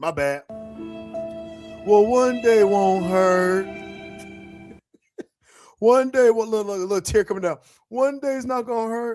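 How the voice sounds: In a put-on character voice, a sad, whiny tone at a fairly high pitch drags along at a fairly slow pace with long, frequent pauses, while music plays in the background.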